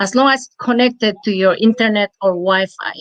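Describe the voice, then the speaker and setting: A woman with a non-native accent speaks at a fairly slow pace in a medium pitch, with ordinary pitch variation and a dry, close sound with no echo. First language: not English. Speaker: online business promoter. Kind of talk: live chat interview. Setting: live stream. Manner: halting.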